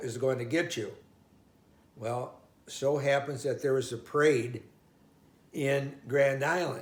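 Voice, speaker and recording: Spoken at a very slow pace, the somewhat breathy voice carries audible room echo. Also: man. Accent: American. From US Midwest, Omaha, Nebraska. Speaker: oral history interviewee. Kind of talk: life story interview. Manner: halting.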